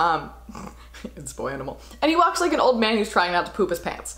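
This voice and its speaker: A woman talking at a very fast pace over noticeable background noise. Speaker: actor. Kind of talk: casual talk to camera. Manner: upbeat, excited.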